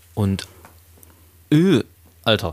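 A man speaks at a very slow pace with lively intonation and vocal fry, in a dry, close sound with no echo. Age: 20s. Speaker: podcast co-host, singer. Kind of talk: casual chat.

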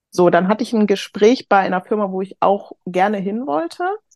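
Her voice is an unremarkable speaking voice, a woman at medium pitch with ordinary pitch variation. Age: 30s. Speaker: HR professional, course participant. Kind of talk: casual interview.

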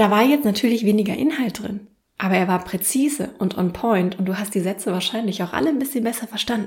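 A woman speaks at a very fast pace in a somewhat breathy voice, her pitch sitting in the middle of her range. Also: ordinary pitch variation. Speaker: podcast host and self-marketing coach. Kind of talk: solo podcast tutorial.

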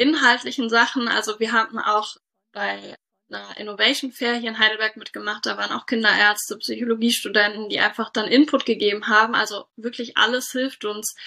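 A woman speaks at a fairly high pitch and fairly quick pace. Her tone is bright and sharp, her intonation monotone and flat. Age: 30s. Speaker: doctor and startup founder. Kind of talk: interview.

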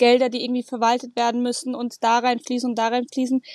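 Recorded with a dry, close sound and no echo, a woman speaks at a high pitch. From Germany, Munich (Bavaria). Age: 20s. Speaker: racing driver. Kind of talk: podcast interview.

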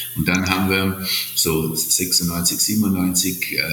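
A recording with noticeable background noise and audible echo from the room. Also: man. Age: 60s. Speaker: hotel entrepreneur. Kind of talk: interview. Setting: remote call from Sardinia. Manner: halting, many fillers.

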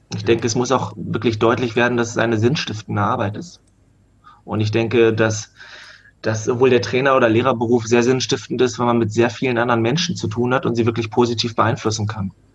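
The words come at a very fast pace in a monotone, flat intonation against noticeable background noise. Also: man, medium pitch for a man. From Germany, Hannover. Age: 20s. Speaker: rugby coach. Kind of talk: casual chat.

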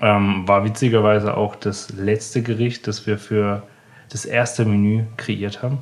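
A man's fairly low, monotone voice with flat intonation, at a moderate pace. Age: 20s. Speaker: chef. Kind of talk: interview. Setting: in the restaurant. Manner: halting.

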